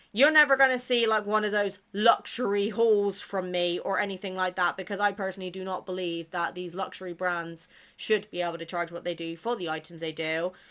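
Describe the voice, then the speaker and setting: A woman with a British accent speaks fairly quickly with hardly any pauses, her tone bright and sharp, her pitch medium with ordinary variation, on a very clean recording with a silent background. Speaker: gaming content creator. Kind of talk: casual chat.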